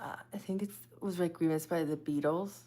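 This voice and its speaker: A soft-spoken woman talks at a very deep, low pitch. Her pace is moderate and her intonation fairly even. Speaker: psychic medium and live streamer. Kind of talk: casual live stream chat with viewers.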